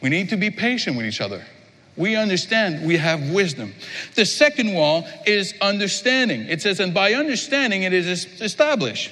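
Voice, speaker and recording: Over noticeable background noise, a man with a French accent uses a raised, projected voice, high in pitch with very wide pitch swings, at a moderate pace. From Quebec. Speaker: pastor. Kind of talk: sermon. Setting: church.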